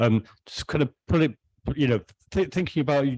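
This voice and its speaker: The man speaks with a Welsh accent in a dry, close sound with no echo. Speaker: artist on panel. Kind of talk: panel discussion. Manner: halting.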